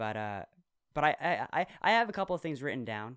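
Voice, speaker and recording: Against a silent background in a very clean recording, a man talks at a fairly quick pace with lively intonation. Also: dry, close sound with no echo. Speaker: podcast co-host. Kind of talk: casual chat. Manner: fast.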